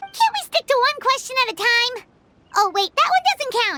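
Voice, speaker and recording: A put-on character voice, extremely high and squeaky, at a moderate pace. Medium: video game. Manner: stammering, hesitant.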